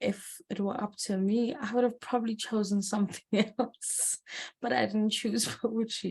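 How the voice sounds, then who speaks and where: Somewhat breathy female voice at medium pitch. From South Africa, Eshowe, KwaZulu-Natal. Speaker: poet. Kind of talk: interview.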